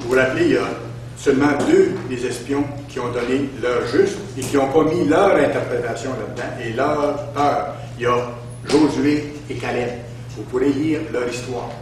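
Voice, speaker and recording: A man at a moderate pace with fairly even intonation and long, frequent pauses, with audible room echo and light background noise. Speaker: preacher. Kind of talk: sermon. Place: church.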